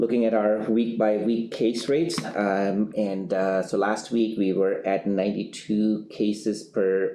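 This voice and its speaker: Ordinary pitch variation marks a man's fairly low, dark and mellow voice. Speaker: public health doctor. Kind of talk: press briefing. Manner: halting, many fillers.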